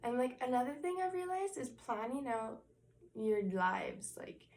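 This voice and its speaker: Audible room echo surrounds a woman's voice. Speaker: inspirational vlogger. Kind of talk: motivational talk to camera. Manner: slow, calm.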